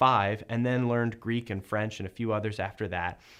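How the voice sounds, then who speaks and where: With an ordinary speaking voice, a man talks at a fairly quick pace and medium pitch. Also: very clean recording, silent background. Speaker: video maker, interviewer. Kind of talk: casual talk to camera.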